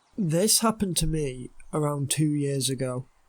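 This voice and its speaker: A man with a British accent speaks at a fairly high pitch in a somewhat breathy voice. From United Kingdom. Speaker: storyteller. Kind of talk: horror story narration.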